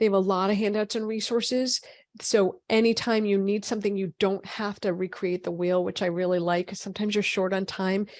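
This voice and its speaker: A woman's medium-pitched, monotone voice with an American accent, flat intonation and a fairly quick pace, against a quiet background. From Boston. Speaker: physician. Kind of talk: webinar lecture. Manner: fast.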